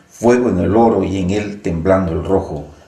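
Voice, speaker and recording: Noticeable background noise sits behind a man's voice. He speaks fairly slowly in a very deep, low pitch. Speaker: interviewer. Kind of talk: poetry reading.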